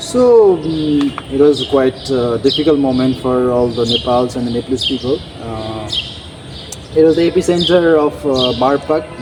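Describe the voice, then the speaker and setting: Medium-pitched male speech with ordinary pitch variation over noticeable background noise. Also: moderate pace. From Nepal. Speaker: architecture graduate. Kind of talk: interview answer.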